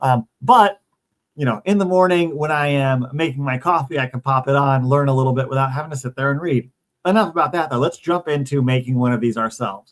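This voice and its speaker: The pace is fairly quick and the pitch variation ordinary. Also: man, fairly high pitch for a man. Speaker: tech YouTuber, Salesforce educator. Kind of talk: tutorial. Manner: fast; casual, chatty.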